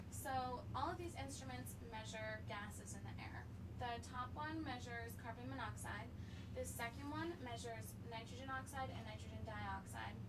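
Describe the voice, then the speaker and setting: A woman speaks at a moderate pace with a very deep, low pitch. Her intonation stays fairly even, and noticeable background noise sits behind her. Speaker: engineering graduate student. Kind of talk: interview answer.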